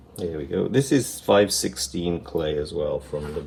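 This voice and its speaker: Noticeable background noise sits under this recording. A man speaks at a fairly slow pace. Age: 60s. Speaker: potter. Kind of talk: tutorial. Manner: casual, relaxed.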